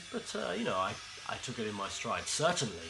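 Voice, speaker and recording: Music plays in the background and audible room echo fills the space as a man with a London accent speaks at a medium pitch. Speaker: former music TV interviewer, storyteller. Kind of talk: comedic anecdote monologue. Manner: hesitant, many fillers.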